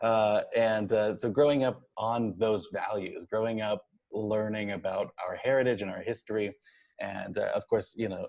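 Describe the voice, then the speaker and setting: A man talks with an American accent in an unremarkable speaking voice. His medium pitch, moderate pace and fairly even intonation hold throughout. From Oklahoma, Tulsa. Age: 20s. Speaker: city council candidate. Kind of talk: interview. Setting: podcast.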